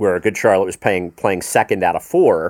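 The background is silent and the recording very clean. A man talks. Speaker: sound engineer and mentor, touring crew. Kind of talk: casual chat. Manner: rambling, halting.

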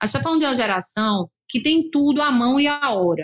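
A woman has an unremarkable speaking voice. She talks at a fairly quick pace with lively intonation. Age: 40s. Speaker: lawyer and company founder, podcast host. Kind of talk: solo podcast monologue. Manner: casual, conversational.

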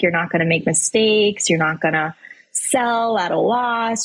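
A woman's fairly high, somewhat breathy voice with lively intonation at a moderate pace. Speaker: financial advisor and speaker. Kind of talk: interview conversation.

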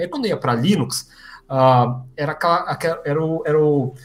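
A man with lively intonation keeps his speech at a moderate pace. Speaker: software developer and video creator. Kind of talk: live-streamed interview.

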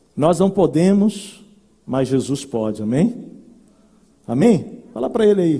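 Long, frequent pauses break up a man's very slow speech, which is high in pitch with a dark, mellow tone and very wide pitch swings. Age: 40s. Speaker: pastor. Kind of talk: sermon. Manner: animated.

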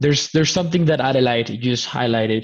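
A man speaks at a very fast pace with a Spanish accent. His pitch is medium. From Colombia. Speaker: podcast host. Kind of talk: live stream interview. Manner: repetitive, halting starts.

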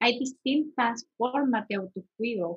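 A high-pitched woman with a bright, sharp tone and lively intonation is heard in a dry, close sound with no echo. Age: 20s. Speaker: podcast co-host on mental health. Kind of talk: casual chat.

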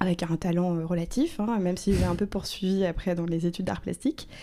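A woman's fairly low voice carries her words at a moderate pace. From Normandy, France (Rouen). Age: 30s. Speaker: screenwriter. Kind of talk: interview. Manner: hesitant, many fillers.

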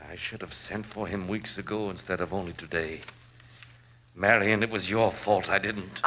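A man's put-on character voice, shaky and fairly low in pitch, at a moderate pace with fairly even intonation. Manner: fearful, desperate, querulous.

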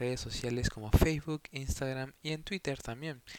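The speaker talks at a moderate pace with ordinary pitch variation, recorded dry and close with no echo. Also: man. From Peru. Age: 20s. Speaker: podcaster. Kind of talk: casual monologue. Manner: hesitant, many filler words.

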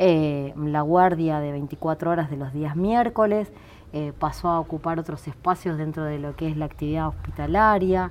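In a Rioplatense accent, a woman speaks at a fairly slow pace with a very deep, low pitch and ordinary pitch variation. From Buenos Aires, Argentina (Ramos Mejía). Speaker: doctor and municipal health director. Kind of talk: interview.

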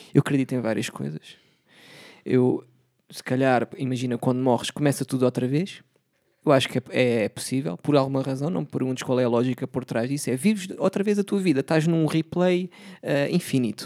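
The tone is dark and mellow, with lively intonation. The sound is dry and close with no echo. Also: man, medium pitch for a man, fairly quick pace. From Portugal, Setúbal. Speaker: podcast host. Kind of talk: casual chat.

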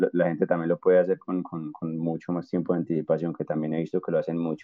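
At a very fast pace, a man talks in a very deep, low voice with monotone, flat intonation. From Colombia, Armenia (Quindío). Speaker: civil engineer and traveling volunteer. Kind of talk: interview, casual chat. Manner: halting, repeats words often.

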